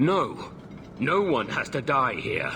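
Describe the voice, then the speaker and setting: A man puts on a raspy character voice at a fairly high pitch, with clear background noise behind him. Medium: video game. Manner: earnest, measured.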